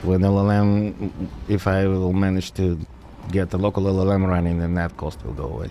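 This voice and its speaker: A man with an American accent speaks at a very deep, low pitch. His tone is dark and mellow, his intonation fairly even. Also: moderate pace. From Soviet Union, raised mostly in United States. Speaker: gaming streamer and software developer. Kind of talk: casual live-stream chat. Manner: casual with frequent fillers (uh, um).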